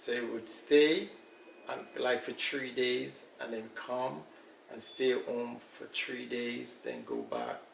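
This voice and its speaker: A man speaks at a very slow pace in a room with audible echo and noticeable background noise. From Jamaica, Kingston. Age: 60s. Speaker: elder interviewee. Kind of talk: interview.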